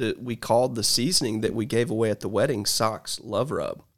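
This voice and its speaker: In an American accent, a man talks at a moderate pace and medium pitch in a plain, everyday voice. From US South, Georgia. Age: 40s. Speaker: barbecue restaurant owner. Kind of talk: casual chat.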